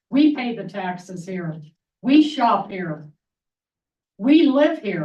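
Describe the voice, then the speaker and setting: A woman with a medium-pitched, somewhat breathy voice and a dark, mellow tone speaks at a very slow pace with long, frequent pauses. Her pitch swings very widely and her loudness swings a lot. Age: 70s. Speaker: resident giving public comment. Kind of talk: public comment at a town meeting. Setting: town commission meeting.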